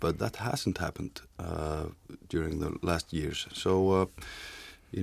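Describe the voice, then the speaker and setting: A man talks at a fairly slow pace. His pitch is very deep and low, with ordinary pitch variation. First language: Icelandic. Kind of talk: casual discussion. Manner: halting.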